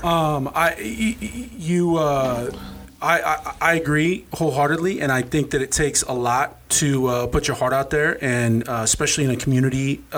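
A man's ordinary speaking voice, fairly high in pitch with ordinary pitch variation, at a moderate pace. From Norfolk, Nebraska, US. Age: 40s. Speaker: podcast co-host. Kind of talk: casual interview chat.

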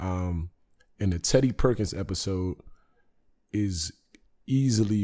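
The voice carries an American accent. Its tone is relaxed, dark and mellow. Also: man. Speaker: podcast host. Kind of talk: casual solo monologue. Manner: relaxed, conversational with frequent fillers.

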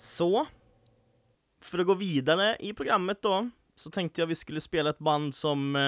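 A high-voiced man talks at a moderate pace with ordinary pitch variation, long, frequent pauses, and big swings in loudness. The sound is dry and close with no echo, a very clean recording against a silent background. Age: 20s. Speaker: podcast host. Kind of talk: casual chat.

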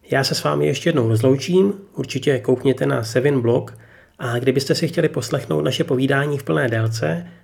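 A man's medium-pitched voice with vocal fry, at a moderate pace. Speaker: podcast host. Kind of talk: interview.

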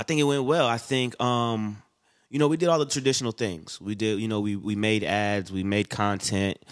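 Against a quiet background, a man talks with a fairly low pitch, ordinary pitch variation, and a moderate pace. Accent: slight Southern US. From Bronx, New York, then Florida and Atlanta. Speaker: guest. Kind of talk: casual chat. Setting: studio.

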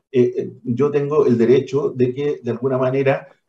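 A medium-pitched, somewhat breathy man's voice with a dark, mellow tone, at a moderate pace. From Chile, Valparaíso region. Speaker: education foundation director. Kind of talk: radio interview.

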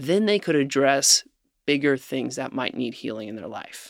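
Heard in a dry, close sound with no echo, a man with a normal speaking voice talks at a moderate pace in a fairly high pitch. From Ohio, near Cincinnati. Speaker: food company founder. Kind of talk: interview.

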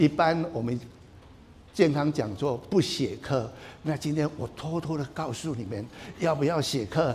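A somewhat breathy man's voice, fairly high in pitch, at a fairly slow pace with ordinary pitch variation and long, frequent pauses. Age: 70s. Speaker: traditional Chinese medicine doctor. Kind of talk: health talk. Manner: animated.

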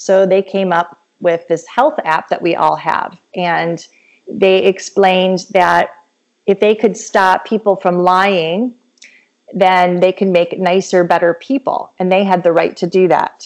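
With a plain, everyday voice, a woman speaks at a medium pitch, her intonation fairly even and her loudness very even. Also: fairly slow pace. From Michigan. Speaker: medical doctor. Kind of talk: interview. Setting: remote recording.

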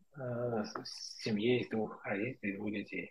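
A man's somewhat breathy voice unfolds at a fairly slow pace. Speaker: engineering manager. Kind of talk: casual chat. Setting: video call.

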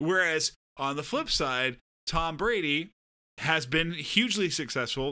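This man has a bright, sharp tone, a fairly high pitch and an American accent. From Southern California. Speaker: podcast co-host. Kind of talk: casual chat.

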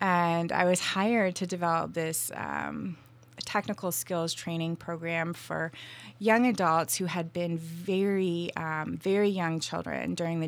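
An unremarkable speaking voice with an American accent, fairly slow and fairly even in intonation, on a very clean recording with a silent background. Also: woman. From Vermont, US. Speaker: tea company founder. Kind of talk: interview conversation.

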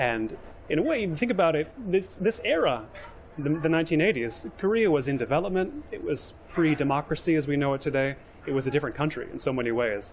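A man with an American accent talks at a fairly quick pace in a fairly high pitch, his intonation lively. Noticeable background noise sits behind him. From Los Angeles, US West Coast. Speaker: urbanism writer and podcaster. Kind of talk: interview. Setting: on location at a skyscraper.

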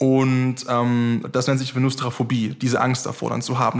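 The speaker is a man. His pitch is medium. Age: 20s. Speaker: podcast host. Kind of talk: casual interview chat.

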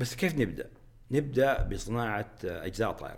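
A man speaks at a fairly slow pace with vocal fry. His pitch sits in the medium range. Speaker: aerospace engineer and company executive. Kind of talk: interview conversation. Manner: halting with repetitions; frequent English code-switching.

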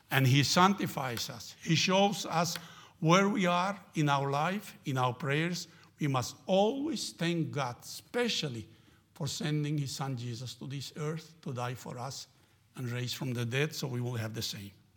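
A man with a Spanish accent speaks at a fairly slow pace. His pitch is fairly high, and his intonation is lively. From Argentina. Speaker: missionary. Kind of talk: sermon. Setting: church. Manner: halting.

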